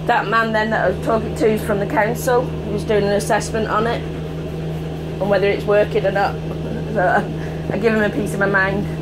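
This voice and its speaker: Loud background noise surrounds the voice. A woman talks at a fairly quick pace. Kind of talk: casual conversation. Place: bus. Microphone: phone near.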